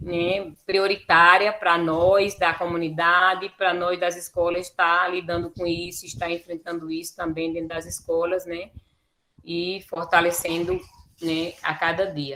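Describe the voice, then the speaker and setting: The woman's voice is fairly low and her intonation monotone and flat. She speaks at a fairly slow pace. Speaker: teacher and quilombola educator. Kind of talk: lecture presentation.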